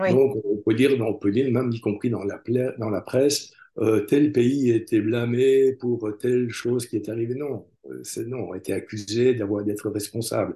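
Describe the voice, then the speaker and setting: A man with a medium-pitched, somewhat breathy voice talks at a fairly slow pace with ordinary pitch variation. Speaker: translator. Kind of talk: interview. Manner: halting, frequent repetitions.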